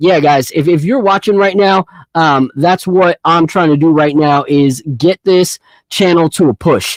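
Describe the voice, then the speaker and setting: With a New York accent, a man speaks at a moderate pace and a high pitch with ordinary pitch variation in a dry, close sound with no echo. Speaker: sports podcast host. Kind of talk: casual live podcast chat. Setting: home studio livestream. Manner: loud; animated.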